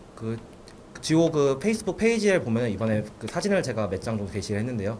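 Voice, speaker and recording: Very fast speech comes from a man at a medium pitch. His pitch swings very widely, and there is noticeable background noise. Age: 20s. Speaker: football supporter group leader. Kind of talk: radio interview.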